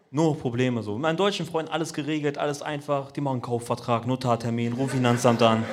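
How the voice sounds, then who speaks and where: Noticeable background noise and audible room echo surround a man speaking at a medium pitch. He talks very fast with hardly any pauses and ordinary pitch variation. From Braunschweig, Kurdish-Turkish family. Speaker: comedian. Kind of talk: stand-up. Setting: stage with audience.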